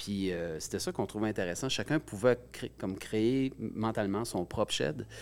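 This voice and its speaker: Lively intonation marks a man's ordinary speaking voice, fairly low in pitch, at a moderate pace with hardly any pauses. The recording is very clean, with a silent background. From Gaspésie, Quebec. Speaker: musician. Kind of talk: interview. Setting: studio.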